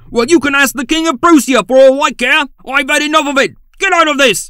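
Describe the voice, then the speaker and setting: Shouting at a fairly quick pace, a man uses a put-on character voice with an extremely high pitch. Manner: shouting, furious.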